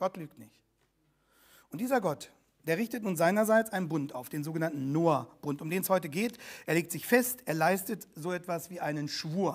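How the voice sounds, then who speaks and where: A high-pitched man's voice over a quiet background, with big swings in loudness. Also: moderate pace. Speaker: pastor. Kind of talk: sermon. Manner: formal; earnest, teaching. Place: church.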